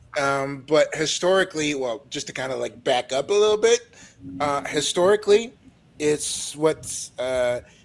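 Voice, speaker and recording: Lively intonation from a man with a fairly high pitch, at a moderate pace. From Ontario, Canada (Franco-Ontarian). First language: French. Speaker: panel co-host. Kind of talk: casual chat. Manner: halting, many fillers.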